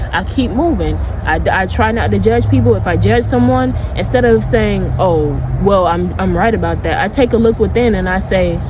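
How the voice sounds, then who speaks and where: Over noticeable background noise and with audible room echo, a woman talks at a moderate pace. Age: 20s. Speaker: spiritual YouTuber. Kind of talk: casual vlog monologue. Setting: outdoors in backyard. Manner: animated.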